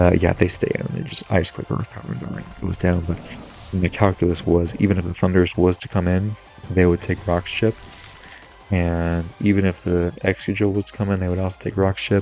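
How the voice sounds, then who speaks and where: With music in the background, a man with a very deep, low pitch talks at a fairly quick pace and fairly even intonation. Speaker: gaming commentator. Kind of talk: gameplay commentary. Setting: home recording. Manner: soft-spoken.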